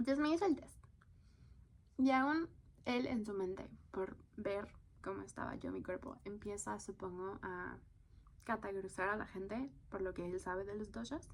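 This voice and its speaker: A woman talks at a moderate pace, her pitch medium with very wide swings. She pauses often and at length. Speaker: content creator. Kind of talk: casual podcast-style monologue.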